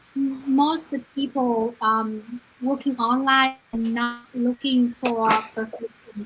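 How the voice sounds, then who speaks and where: A woman's high-pitched voice with a Vietnamese accent, very slow and monotone in flat intonation, over noticeable background noise. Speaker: online business owner. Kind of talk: live stream guest answer. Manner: halting, many fillers.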